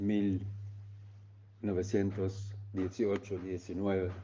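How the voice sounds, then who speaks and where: A man's fairly low-pitched voice in a German accent, with a dark, mellow tone and a very slow pace. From East Germany. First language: German (speaking Spanish). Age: 70s. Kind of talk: testimony. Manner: halting.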